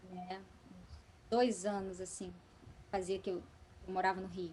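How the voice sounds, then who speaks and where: Her voice sits at a medium pitch, and she talks fairly slowly. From Espírito Santo, Brazil. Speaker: actress, voice actress and singer. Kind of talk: podcast interview answer.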